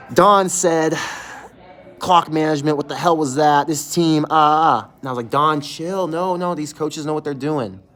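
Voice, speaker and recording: A man talks in a fairly high, animated voice at a moderate pace. Noticeable background noise is present. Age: 30s. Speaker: sports fan show host. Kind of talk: live stream reaction. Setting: closed restaurant. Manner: casual, animated.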